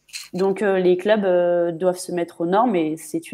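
Speaking at a very slow pace, a woman uses a dark, mellow tone with monotone, flat intonation. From Paris region, France; France. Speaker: footballer; guest. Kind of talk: live stream interview. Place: home room.

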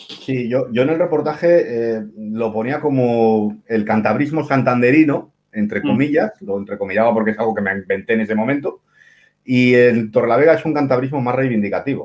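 With ordinary pitch variation, a man talks at a moderate pace against a quiet background. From Cantabria, Spain (Santander); Cantabria, Spain. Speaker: writer, columnist. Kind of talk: casual interview. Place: home room. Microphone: video call.

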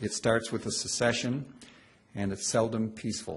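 Somewhat breathy, a man talks at a fairly quick pace. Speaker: law professor. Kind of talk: lecture. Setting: stage with audience. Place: hall.

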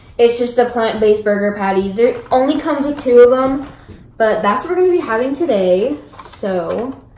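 A woman speaks at a moderate pace in a high voice. Audible room echo surrounds her. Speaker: vlogger. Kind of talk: casual vlog chat. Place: kitchen. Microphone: phone near.

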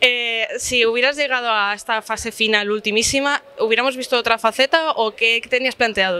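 A woman with a bright, sharp tone and fairly high pitch speaks at a moderate pace with hardly any pauses. Her intonation stays fairly even, and the sound is dry with no echo. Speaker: magazine reporter. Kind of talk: interview questions. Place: cafe.

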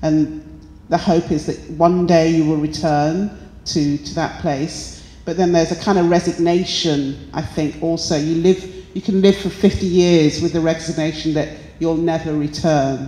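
A woman with a British accent at a moderate pace, with audible room echo. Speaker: artist. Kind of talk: artist interview. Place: hall. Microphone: handheld.

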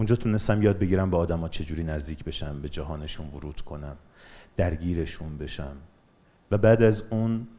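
A man speaks at a moderate pace in a very deep, low pitch with a dark, mellow tone. His pitch varies in an ordinary way, while his loudness swings widely. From Iran, Bandar Anzali (Gilan); Gilan, Iran. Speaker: documentary filmmaker and photographer; guest. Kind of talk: motivational talk; public talk. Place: hall. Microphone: headset.

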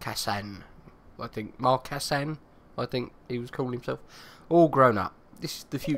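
The speaker delivers plain reading aloud.

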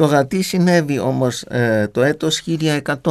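Male voice with very wide pitch swings over a quiet background. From Germany. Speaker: radio host, theologian. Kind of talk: radio interview. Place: studio. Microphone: studio mic.

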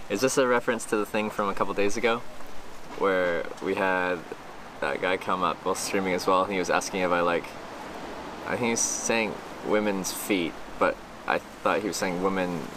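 A man with a fairly low pitch talks at a fairly quick pace with fairly even intonation, in a dry sound with no echo and noticeable background noise. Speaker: live streamer. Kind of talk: casual stream chat reading. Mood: relaxed, amused. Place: street. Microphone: phone near.

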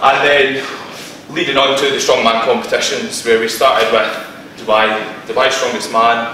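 Audible room echo and light background noise surround the recording. A man speaks at a moderate pace with ordinary pitch variation. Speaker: presenter. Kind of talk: lecture. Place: meeting room. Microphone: camera far.

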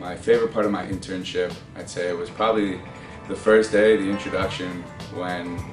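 Music plays clearly behind the speech. The speaker is a man. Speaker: marketing graduate, intern. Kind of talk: interview answer. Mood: friendly, enthusiastic. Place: office. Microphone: camera far.

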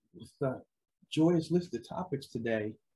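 A somewhat breathy man's voice with very wide pitch swings at a moderate pace. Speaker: podcast host. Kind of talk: casual podcast chat.

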